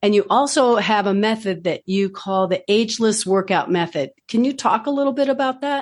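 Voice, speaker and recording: A woman's plain, everyday voice, fairly high-pitched with lively intonation, at a moderate pace with hardly any pauses and very even loudness. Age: 60s. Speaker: podcast host. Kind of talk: podcast interview.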